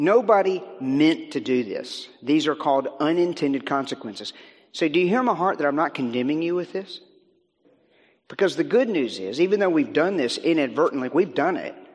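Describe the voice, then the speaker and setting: Speaking at a fairly quick pace with lively intonation, a man with an American accent uses a normal speaking voice. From US South, Virginia. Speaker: guest speaker, minister and author on technology. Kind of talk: sermon. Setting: church.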